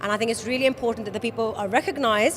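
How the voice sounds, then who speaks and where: A woman's high voice at a very fast pace, with ordinary pitch variation and noticeable background noise. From Wales. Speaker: awards host and judge. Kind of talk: interview. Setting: awards event.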